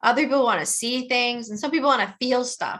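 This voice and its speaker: A woman with a Midwestern accent, high-pitched with a bright, sharp tone, very fast, over a quiet background. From US Midwest, Detroit. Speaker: trauma educator and author. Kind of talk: webinar presentation. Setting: online webinar.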